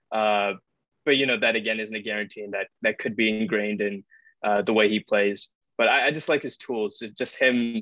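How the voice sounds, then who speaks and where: In a normal speaking voice, a man talks fairly quickly with a fairly low pitch and fairly even intonation. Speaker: podcast co-host. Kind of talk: casual chat.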